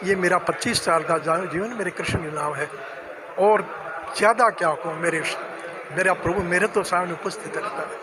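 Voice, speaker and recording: A man raises and projects his voice at a high pitch with fairly even intonation. Noticeable background noise runs behind him. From Rajasthan, Churu area. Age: 80s+. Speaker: retired pensioner. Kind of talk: interview. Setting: pensioners' welfare centre.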